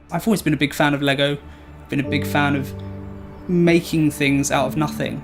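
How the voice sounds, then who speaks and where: Fairly quick speech with long, frequent pauses, ordinary pitch variation and big swings in loudness, over background music. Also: man, fairly high pitch for a man. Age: 20s. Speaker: cancer survivor; assistant project manager in construction. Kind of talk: personal testimonial.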